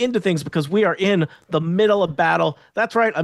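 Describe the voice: What you hear is plain reading aloud.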